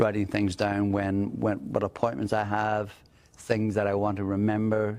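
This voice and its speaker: The loudness stays very even throughout. The intonation is monotone and flat. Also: man, fairly low pitch for a man, moderate pace. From Ireland. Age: 60s. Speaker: job seeker with brain injury. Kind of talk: personal video profile. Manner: halting, repeats words.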